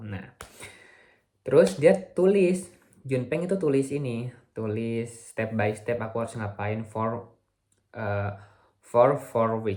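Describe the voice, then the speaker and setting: Here a man speaks at a very slow pace. His voice is somewhat breathy, at a medium pitch. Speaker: vlogger, visiting researcher. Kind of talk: video diary vlog. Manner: halting, frequent self-corrections; casual Indonesian with English mixed in.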